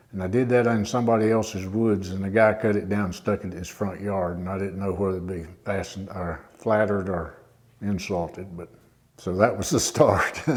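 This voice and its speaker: With an American accent, a man talks at a fairly quick pace in a fairly low pitch, his intonation fairly even, his loudness swinging widely, and room echo audible. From southwest Virginia. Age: 70s. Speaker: retired teacher and wood carver. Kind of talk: interview monologue. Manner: halting, many fillers.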